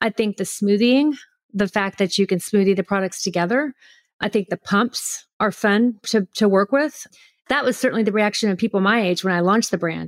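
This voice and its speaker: A woman's plain, everyday voice at a medium pitch and fairly quick pace, with ordinary pitch variation and very even loudness, in a dry, close sound with no echo on a very clean recording with a silent background. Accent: American. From Houston, Texas. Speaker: brand founder. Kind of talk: casual interview chat.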